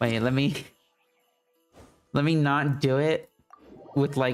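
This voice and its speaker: A man's fairly high, monotone, flat voice at a fairly slow pace, with music in the background. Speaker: gaming streamer. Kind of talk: live gameplay stream chat. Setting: live stream. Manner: casual, filler-heavy.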